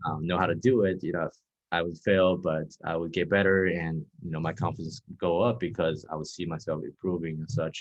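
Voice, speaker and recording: Here a man talks with a Chinese accent. His very deep, low pitch shows ordinary variation. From Texas. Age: 20s. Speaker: dating coach. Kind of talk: interview.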